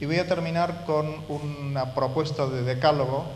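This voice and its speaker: With audible room echo, a man speaks in fairly even intonation. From Argentina, Córdoba. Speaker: university professor. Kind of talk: lecture.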